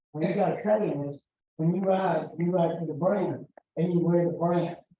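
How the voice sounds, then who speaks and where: A man with an American accent, high in pitch, his intonation fairly even. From US South, San Antonio, Texas. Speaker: Rotary district governor-elect, presenter. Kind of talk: conference talk.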